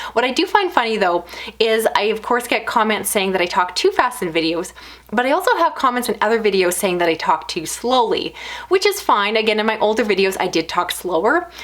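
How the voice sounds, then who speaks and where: Against noticeable background noise, a woman speaks fairly quickly in a fairly high pitch that moves in very wide swings. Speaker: book reviewer YouTuber. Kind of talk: casual vlog monologue. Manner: fast.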